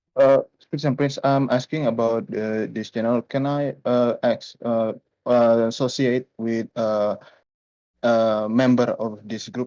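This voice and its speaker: Speaking fairly slowly with a non-native accent, a man has a dark, mellow tone at medium pitch and fairly even intonation, in a dry, close sound with no echo over a quiet background. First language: not English. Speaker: caller. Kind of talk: live call-in question. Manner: halting.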